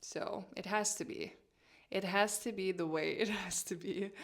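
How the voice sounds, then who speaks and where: A woman talks at a medium pitch with a non-native accent. Her pace is moderate. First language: not English. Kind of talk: casual vlog talk to camera.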